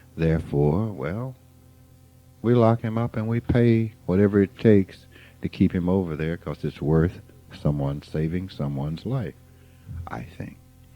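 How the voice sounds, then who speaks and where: Music plays in the background. A man with a very deep, low pitch speaks with lively intonation. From US South, rural Mississippi. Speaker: spiritual teacher. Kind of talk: informal spiritual talk.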